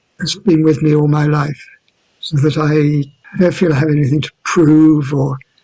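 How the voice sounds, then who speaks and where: Somewhat breathy, the man's voice sits at a fairly high pitch. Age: 70s. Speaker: yoga teacher. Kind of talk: interview answer.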